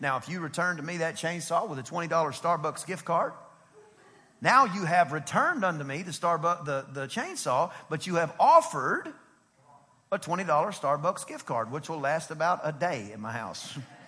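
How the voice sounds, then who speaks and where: Noticeable background noise sits behind a male speaker. His tone is animated and his intonation lively. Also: big swings in loudness. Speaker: pastor. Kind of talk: sermon. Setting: church service with congregation. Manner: fast.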